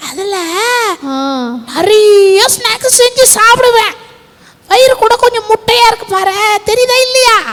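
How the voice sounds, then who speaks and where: An extremely high, cartoonish character voice at a fairly slow pace. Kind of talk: children's puppet show.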